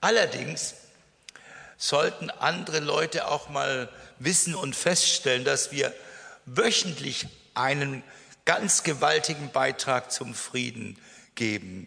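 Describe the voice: A man's medium-pitched voice with a bright, sharp tone, vocal fry, lively intonation, and a slow pace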